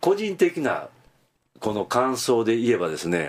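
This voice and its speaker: Speaking at a moderate pace, a man swings his pitch very widely. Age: 70s. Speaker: film commentator. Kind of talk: radio interview.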